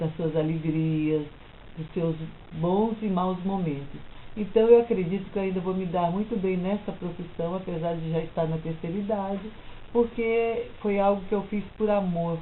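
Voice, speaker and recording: A woman's medium-pitched voice at a moderate pace, with fairly even intonation and audible room echo. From São Paulo, Brazil. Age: 60s. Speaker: retired teacher and psychology student. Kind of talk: life story interview.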